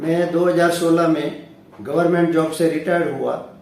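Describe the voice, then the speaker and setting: This man speaks at a high pitch. Audible room echo surrounds his voice. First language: Gujarati (speaking Hindi). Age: 60s. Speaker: retired science teacher and motivational speaker. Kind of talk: self-introduction monologue.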